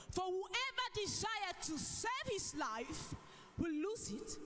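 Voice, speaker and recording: A woman speaks at a very slow pace with an extremely high pitch. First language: not English. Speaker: preacher. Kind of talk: sermon.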